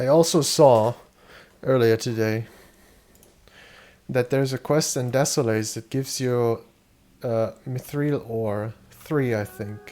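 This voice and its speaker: The voice has a dark, mellow tone and fairly even intonation. It moves at a very slow pace with long, frequent pauses. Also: man, medium pitch for a man. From Germany. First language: German. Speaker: video game streamer. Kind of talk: casual live-stream commentary.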